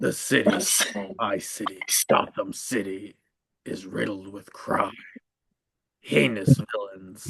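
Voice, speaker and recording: A man's put-on character voice, fairly low in pitch, at a fairly slow pace with long, frequent pauses. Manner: grim, brooding.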